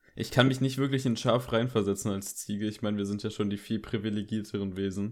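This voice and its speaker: Speaking very fast with hardly any pauses, a man keeps a fairly low pitch and fairly even intonation. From Germany, Koblenz area. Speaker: film podcast host. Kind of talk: casual chat. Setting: home, bedroom.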